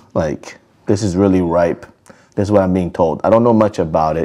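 The background stays quiet. A man talks in a very deep, low pitch. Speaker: food vlogger. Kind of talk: casual vlog chat. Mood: cheerful, relaxed. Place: home room. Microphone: lapel.

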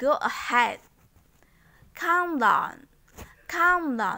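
A woman projects a bright, sharp voice with lively intonation. Her pace is very slow. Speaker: English teacher. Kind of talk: tutorial. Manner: slow, repetitive drilling.

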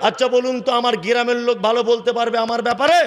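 This man speaks at an extremely high pitch in an animated tone, with light background noise behind him. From West Bengal, North 24 Parganas; West Bengal. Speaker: Islamic preacher. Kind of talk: religious sermon at a public gathering. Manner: animated, fiery. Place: stage. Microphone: podium.

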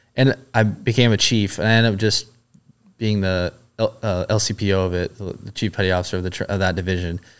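The speaker uses an American accent, monotone, flat intonation and a moderate pace. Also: man. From Southern California, US. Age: 30s. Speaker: former Navy SEAL and police officer; podcast guest. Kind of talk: casual interview chat. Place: studio. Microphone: studio mic.

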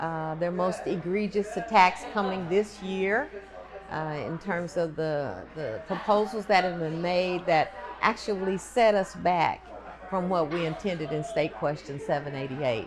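A woman with an American accent, fairly low-pitched, at a fairly slow pace, over noticeable background noise. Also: ordinary pitch variation. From Oklahoma. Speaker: retired state senator. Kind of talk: advocacy speech. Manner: forceful. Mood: earnest, mildly indignant. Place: hall.

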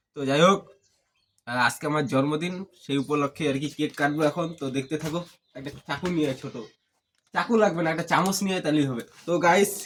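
A man speaks at a fairly high pitch. He has an ordinary speaking voice with ordinary pitch variation. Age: 20s. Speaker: vlogger. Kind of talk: casual vlog talk.

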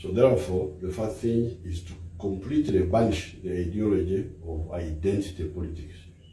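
Very deep and low, a man's somewhat breathy voice with a dark, mellow tone and a Ugandan accent runs on with hardly any pauses, amid audible room echo and light background noise. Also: ordinary pitch variation, moderate pace, big swings in loudness. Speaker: politician. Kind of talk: public speech.

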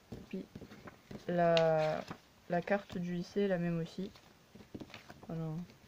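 A woman speaks very slowly with a fairly low pitch and flat, monotone intonation, leaving long, frequent pauses over light background noise. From France. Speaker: YouTuber reviewing collectible dolls; doll collector reviewer. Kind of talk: casual product review. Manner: hesitant, many fillers. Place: home room. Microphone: phone near.

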